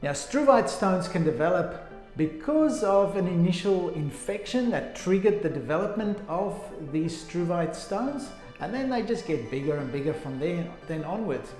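A man with a high pitch speaks at a moderate pace. Faint music plays in the background, and there is audible room echo. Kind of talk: informational talk to camera. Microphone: phone near.

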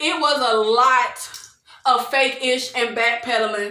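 A woman speaks in a raised, projected, high-pitched voice with an animated tone and a fairly slow pace, with audible room echo over a quiet background. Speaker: video creator reviewing TV shows. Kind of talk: angry rant, indignant recap and commentary on reality TV. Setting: solo video recording. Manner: animated, exasperated, indignant, emphatic with repeated 'child' and 'y'all'. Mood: exasperated, opinionated.

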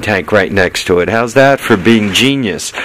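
This man talks at a moderate pace. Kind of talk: casual vlog chat. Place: garage. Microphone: phone near.

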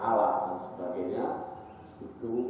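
A man at a fairly slow pace with ordinary pitch variation, strong room echo and light background noise. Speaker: religious teacher. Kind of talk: lecture. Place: church.

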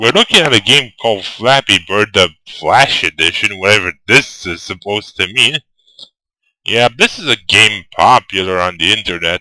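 A man speaks at a fairly low pitch with a bright, sharp tone and ordinary pitch variation. The sound is dry and close with no echo, and the recording is very clean over a silent background. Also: moderate pace. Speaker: gameplay commentator. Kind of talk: casual gameplay commentary.

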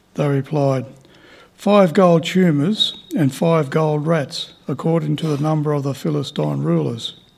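A somewhat breathy man with an Australian accent. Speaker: lay Bible reader. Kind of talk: reading aloud. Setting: church. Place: hall.

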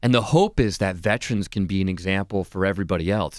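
In a dry sound with no echo and a quiet background, a man with a very deep, low voice talks at a very fast pace with ordinary pitch variation. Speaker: candidate. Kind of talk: interview answer. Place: studio. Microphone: studio mic.

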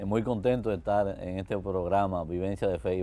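In a dark, mellow tone, a man speaks at a fairly low pitch with fairly even intonation. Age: 60s. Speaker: architect giving faith testimony; guest. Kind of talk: TV interview testimony. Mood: warm, cheerful storytelling. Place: studio. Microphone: lapel.

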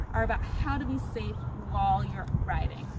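A woman's voice, dry with no echo, amid loud background noise. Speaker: bike tour guide. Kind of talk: tutorial.

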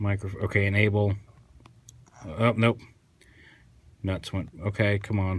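A somewhat breathy voice speaks at a fairly slow pace in a monotone, flat intonation, with long, frequent pauses. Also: man, fairly low pitch for a man. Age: 30s. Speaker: toy reviewer. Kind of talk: product review. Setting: sitting on the floor at home. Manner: casual, hesitant with fillers. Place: home room. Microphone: phone near.

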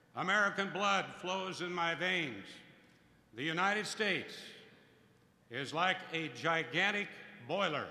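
A man's raised, projected voice at a fairly slow pace, with audible room echo. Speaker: host introducing a speaker. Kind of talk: formal introduction speech. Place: hall. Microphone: podium.

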